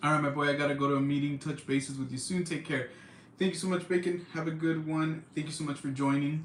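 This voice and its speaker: A man with an American accent speaks at a very fast pace in a somewhat breathy, fairly high voice with monotone, flat intonation. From California, Central Valley. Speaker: livestream host. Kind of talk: casual chat. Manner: casual, filler-heavy.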